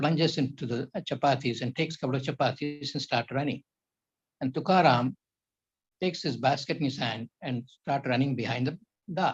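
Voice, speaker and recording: Somewhat breathy and fairly high in pitch, a man talks at a fairly quick pace with ordinary pitch variation in a dry, close sound with no echo. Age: 80s+. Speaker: yoga professor. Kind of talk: lecture.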